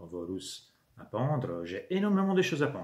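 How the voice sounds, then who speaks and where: A man with an Italian accent talks at a very slow pace, his pitch swinging very widely amid audible room echo. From Italy. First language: Italian (speaking French). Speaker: YouTuber, miniature wargaming hobbyist. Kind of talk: channel introduction monologue. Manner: hesitant, many fillers.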